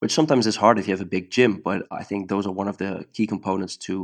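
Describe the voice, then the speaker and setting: With a Dutch accent, a man speaks at a very fast pace. His pitch is fairly low, and the background is quiet. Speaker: jiu-jitsu coach. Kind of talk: casual interview chat. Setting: video call, late at night. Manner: halting, searching for words.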